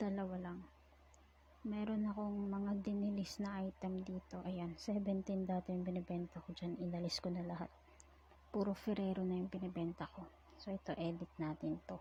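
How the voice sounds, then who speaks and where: A woman at medium pitch and moderate pace, with a monotone, flat intonation. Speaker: online seller. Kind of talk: casual tutorial talk over screen recording.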